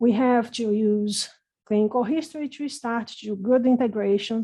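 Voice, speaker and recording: Against a quiet background, a woman with a non-native accent speaks at a moderate pace in a fairly high pitch, her tone dark and mellow, with ordinary pitch variation. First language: not English. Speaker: renal pathologist, professor. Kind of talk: lecture.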